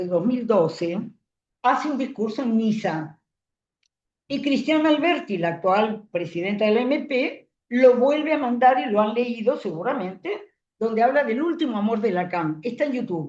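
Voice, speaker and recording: Her voice is high for a woman, and she swings very widely in pitch. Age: 80s+. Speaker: psychoanalyst teaching a seminar. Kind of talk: lecture.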